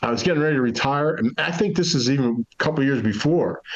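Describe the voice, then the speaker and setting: A man talks at a fairly quick pace, his pitch fairly high with ordinary variation. It is an ordinary speaking voice. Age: 60s. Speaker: retired Marine infantry officer. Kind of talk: casual interview chat.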